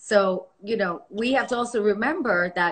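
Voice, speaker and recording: Fairly high in pitch, a woman talks with pitch that varies in an ordinary way. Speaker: podcast host, naturopathic doctor. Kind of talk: interview, casual chat. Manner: animated, enthusiastic.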